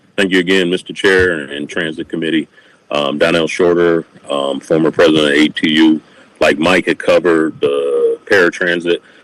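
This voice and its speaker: Over noticeable background noise, a man with an American accent speaks at a moderate pace in a dry, close sound with no echo. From Milwaukee County, Wisconsin, US Midwest. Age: 50s. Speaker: former transit union president giving public comment. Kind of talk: public testimony at a committee meeting. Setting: county committee meeting room.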